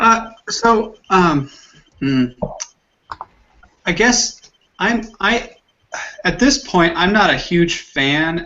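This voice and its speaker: A high-pitched man talks very slowly with lively intonation. He takes long, frequent pauses. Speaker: Bible study participant. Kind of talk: group Bible discussion. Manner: halting, hesitant.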